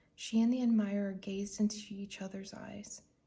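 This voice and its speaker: Soft-spoken and somewhat breathy, a woman at a medium pitch talks fairly slowly in a dark, mellow, soothing tone with monotone, flat intonation. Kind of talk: ASMR bedtime story read-aloud. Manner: soft-spoken, soothing.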